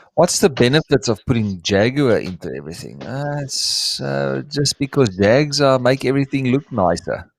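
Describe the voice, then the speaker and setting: A man talks with a South African accent at a moderate pace. He leaves hardly any pauses, and the sound is dry and close, with no echo. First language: Afrikaans. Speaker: reptile breeder. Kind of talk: live stream chat. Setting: live stream. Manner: halting, searching for words.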